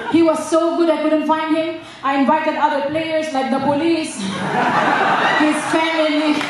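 A woman's extremely high pitch at a fairly slow pace, with strong room echo and noticeable background noise. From Philippines. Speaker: stand-up comedian. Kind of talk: live stand-up comedy set. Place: stage.

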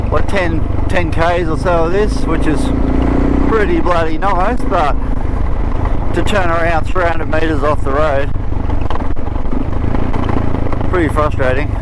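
Over loud background noise, a man speaks with long, frequent pauses, and the sound is dry with no echo. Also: fairly slow pace. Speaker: motorbike rider vlogger. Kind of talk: casual ride commentary. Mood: relaxed, mildly frustrated. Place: motorbike. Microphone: helmet.

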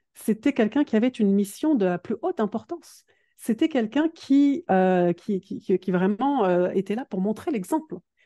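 Lively in intonation and dark and mellow in tone, a woman's fairly high voice moves at a moderate pace with a dry, close sound with no echo and a quiet background. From northern France, Dunkirk. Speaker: productivity coach. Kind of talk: interview. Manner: hesitant, many fillers.

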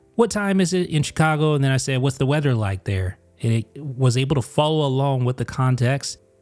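A man talks at a fairly quick pace with lively intonation and hardly any pauses. Music plays in the background. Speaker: tech reviewer. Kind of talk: tutorial. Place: studio.

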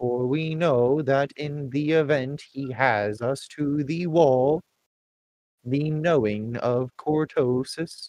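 The pace is very slow. The speaker uses a put-on character voice. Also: man. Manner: formal, measured.

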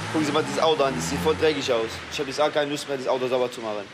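Noticeable background noise surrounds a man's voice. He talks at a very fast pace and a fairly high pitch. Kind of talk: casual chat. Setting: gas station at night.

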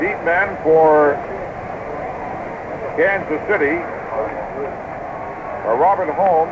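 Loud background noise surrounds a man speaking at a very slow pace. He leaves long, frequent pauses. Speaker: radio play-by-play announcer. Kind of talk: live football radio play-by-play. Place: booth. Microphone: old recording.

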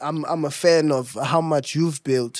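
A man's voice with ordinary pitch variation, a dry sound with no echo, and faint music in the background. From South Africa. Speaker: podcast host. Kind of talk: casual interview chat. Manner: playful, joking. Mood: playful, relaxed. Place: studio. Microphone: studio mic.

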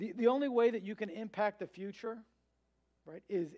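Here a man talks at a fairly quick pace. His voice is high. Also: quiet background. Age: 30s. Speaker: pastor. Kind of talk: sermon. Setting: church. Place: church.

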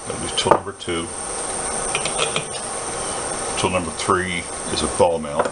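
Clear background noise runs under a man's low-pitched voice. He keeps a fairly even intonation at a fairly quick pace.

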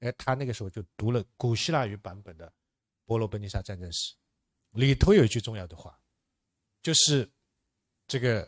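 This man talks at a moderate pace, his pitch varying in an ordinary way, with a quiet background behind him. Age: young. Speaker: political science professor. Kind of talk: lecture. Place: hall.

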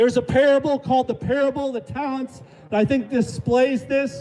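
With music in the background, a man talks at a moderate pace in an extremely high pitch. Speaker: street preacher. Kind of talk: open-air street preaching sermon.

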